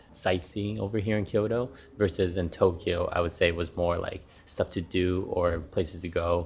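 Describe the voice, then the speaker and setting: Music plays behind a man with a very deep, low pitch. He speaks quietly with fairly even intonation. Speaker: travel vlogger. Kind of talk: casual vlog narration. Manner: speaking quietly.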